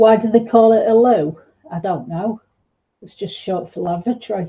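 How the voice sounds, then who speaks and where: At a moderate pace, a woman speaks with a somewhat breathy, fairly high voice and ordinary pitch variation. Her loudness swings widely. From northern England, South Yorkshire / North Derbyshire. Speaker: art tutor live-streaming. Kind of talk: casual live-stream chat while painting.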